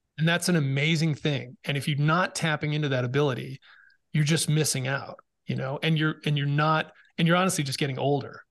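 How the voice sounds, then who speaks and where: A man with an American accent speaks at a fairly quick pace in an unremarkable speaking voice. His pitch is fairly high, his intonation fairly even, and the background is quiet. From Massachusetts, Boston area. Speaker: podcast host and former Navy SEAL, mental fitness speaker. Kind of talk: interview conversation. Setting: video call.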